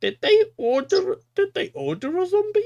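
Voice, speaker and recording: The put-on character voice is extremely high in pitch and moves at a moderate pace. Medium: actual play. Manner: awkward, puzzled.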